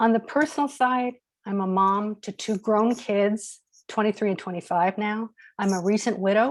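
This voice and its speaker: In a normal speaking voice, a woman speaks at a fairly high pitch and a moderate pace, with ordinary pitch variation. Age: 60s. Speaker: business coach and motivational speaker. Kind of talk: webinar talk.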